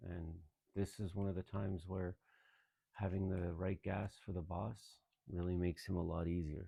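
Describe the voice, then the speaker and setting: A man mumbles in a very deep, low pitch with a dark, mellow tone, somewhat breathy, monotone and flat, at a moderate pace. His dry, close sound has no echo, the background is quiet, and he takes long, frequent pauses. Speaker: gaming YouTuber. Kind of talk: let's play commentary. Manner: mumbling; quiet, tentative. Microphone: no proper microphone, phone recording.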